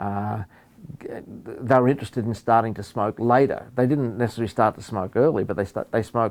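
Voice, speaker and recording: Speaking at a fairly quick pace, a man with an Australian accent keeps a medium pitch and fairly even intonation. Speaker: professor and epidemiologist. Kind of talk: interview. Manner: halting, many fillers and repeats.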